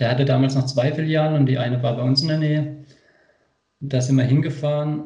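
A man's fairly high, somewhat breathy voice with a dark, mellow tone, monotone, flat intonation and a fairly quick pace, in audible room echo. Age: 20s. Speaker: skateboarder. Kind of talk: casual chat.

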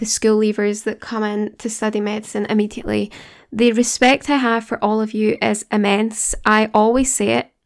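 A woman speaks in a Glaswegian accent. Her pitch is fairly high and her pace moderate. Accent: Glaswegian Scottish. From Scotland. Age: 20s. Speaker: podcast host, graduate medical student. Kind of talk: casual personal monologue, solo podcast. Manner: conversational, earnest.

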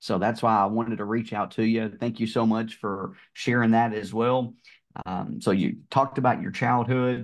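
Over a quiet background, a man talks at a moderate pace and medium pitch with fairly even intonation. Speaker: podcast host and car salesman. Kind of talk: casual interview. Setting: recorded podcast conversation. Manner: smooth talker.

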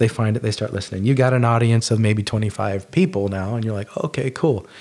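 Here is a man with an unremarkable speaking voice at a medium pitch. He talks at a fairly quick pace with ordinary pitch variation. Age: 50s. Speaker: podcast host and former restaurant cook. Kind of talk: solo tutorial podcast. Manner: casual, with frequent fillers.

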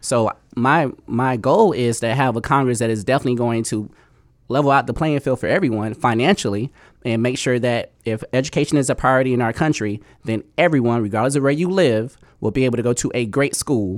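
A man with an American accent talks at a medium pitch, with ordinary pitch variation. It is an ordinary speaking voice. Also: fairly quick pace. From Miami, Florida. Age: 30s. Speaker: congressional candidate. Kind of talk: radio interview. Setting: studio.

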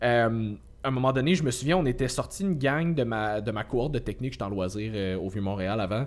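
At a fairly quick pace, a man with a medium-pitched voice speaks with lively intonation in a normal speaking voice. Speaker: podcast co-host, fitness coach. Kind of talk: casual chat.

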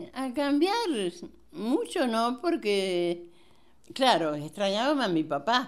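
Her fairly high voice making very wide pitch swings, a woman speaks at a very slow pace with long, frequent pauses. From Italy, Molise region (Campobasso province). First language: Italian (speaking Spanish). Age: 80s+. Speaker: grandmother, Italian immigrant. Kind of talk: life-story interview. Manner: halting.

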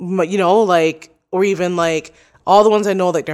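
Fairly low in pitch, a woman with an ordinary speaking voice talks at a moderate pace with fairly even intonation, in a very clean recording with a silent background. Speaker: podcaster. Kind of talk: casual interview.

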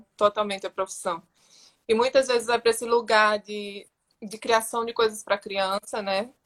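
In a dry, close recording with no echo, a woman speaks at medium pitch and a moderate pace with flat, monotone intonation. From Brazil, Rio Grande do Norte (Natal). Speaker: visual artist and poet. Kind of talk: casual interview on a live stream.

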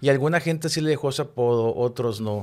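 A man does the talking. The background is silent and the recording very clean. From Mexico, Chihuahua. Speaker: television production director. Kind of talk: casual interview chat.

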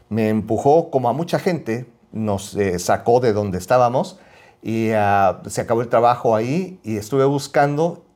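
Over a very clean recording with a silent background, a man speaks in a normal speaking voice at a moderate pace. His pitch is medium and his intonation lively. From Mexico City. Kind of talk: casual chat.

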